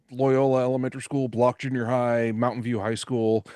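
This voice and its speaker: Against a quiet background, a man speaks with a Californian accent. His medium-pitched voice is monotone and flat. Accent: Californian American. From Silicon Valley, California, US. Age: 50s. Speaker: podcast host. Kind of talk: podcast interview.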